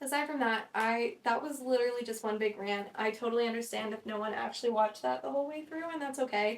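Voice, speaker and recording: An animated tone at a very fast pace, with hardly any pauses. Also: woman, fairly high pitch for a woman, ordinary pitch variation. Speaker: podcast host, content creator. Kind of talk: casual solo chat.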